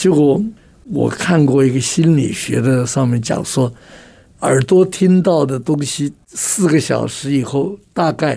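A man with a dark, mellow tone and a fairly high pitch talks at a very slow pace, with ordinary pitch variation. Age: 80s. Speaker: communication trainer and author. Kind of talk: radio interview.

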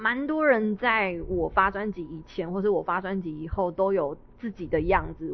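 Her pitch fairly low, a woman speaks in a Taiwanese accent. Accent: Taiwanese Mandarin. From Taiwan, Miaoli (Hakka). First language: Hakka (speaking Chinese). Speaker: Hakka singer-songwriter and stage actor. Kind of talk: casual interview. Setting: live event venue.

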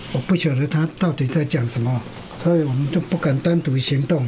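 There is noticeable background noise as a man speaks with a Taiwanese accent. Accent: Taiwanese Mandarin with Taiwanese Hokkien. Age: 80s+. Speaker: retiree with hearing loss. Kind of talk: interview testimony. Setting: studio. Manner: laughs often.

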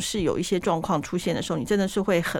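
This woman talks at a very fast pace. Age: 50s. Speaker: podcast host. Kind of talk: casual chat. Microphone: muffled by face mask, breathing audible.

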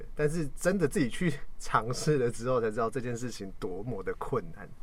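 His tone is animated and his intonation lively. The man speaks at a medium pitch and a moderate pace. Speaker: worship team member, podcast host. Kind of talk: casual chat about worship ministry. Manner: animated, joking.

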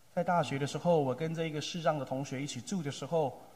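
A man with a fairly high pitch speaks in a dark, mellow, somewhat breathy tone with ordinary pitch variation. Audible room echo surrounds the voice. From Taiwan, Taipei area (Tamsui). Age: 30s. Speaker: pastor. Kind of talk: sermon.

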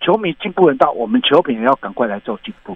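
A speaker in a Taiwanese accent swings the pitch very widely. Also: man. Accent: Taiwanese Mandarin. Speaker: baseball commentator and coach. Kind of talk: interview. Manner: halting.

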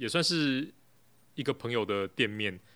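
The man's tone is bright and sharp. The recording is very clean, with a silent background. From Taiwan, Taipei. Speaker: café owner, former engineer. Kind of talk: casual interview chat. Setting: in his café. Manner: hesitant, many fillers.

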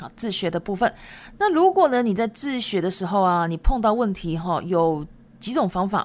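A silent background frames a very clean recording. The speaking pace is moderate. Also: woman. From Japan. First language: Japanese and Chinese (speaking Chinese). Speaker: Japanese language teacher. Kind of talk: podcast monologue. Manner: casual, chatty.

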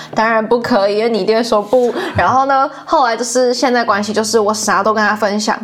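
The tone is animated. Noticeable background noise is present. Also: woman, fairly high pitch for a woman. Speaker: university student working in department store marketing. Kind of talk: casual interview. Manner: animated, laughs often.

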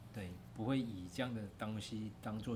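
With a Taiwanese accent and fairly even intonation, a man speaks amid noticeable background noise and audible room echo. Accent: Taiwanese Mandarin. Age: 40s. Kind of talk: casual interview. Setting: outdoors by rice fields.

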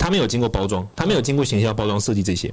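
This man speaks at a medium pitch. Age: 20s. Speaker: Buddhist scholar and author. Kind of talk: casual chat.

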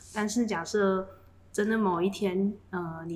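A woman's monotone, flat intonation. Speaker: semiconductor fab engineer. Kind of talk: casual chat.

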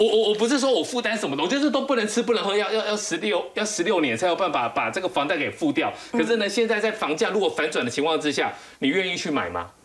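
Noticeable background noise beneath a fairly quick pace. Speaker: financial writer. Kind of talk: TV panel discussion.

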